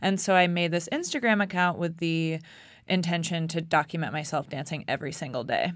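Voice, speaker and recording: In a very clean recording with a silent background, a woman with a normal speaking voice talks at a fairly quick pace, her pitch fairly low and ordinary in variation. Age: 30s. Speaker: writer and dancer. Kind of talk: interview. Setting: studio.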